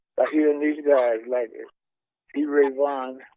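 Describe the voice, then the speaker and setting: With a Southern US accent, a man speaks at a moderate pace with fairly even intonation. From Mississippi. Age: 80s+. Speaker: blues guitarist. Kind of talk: interview answer. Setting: phone line.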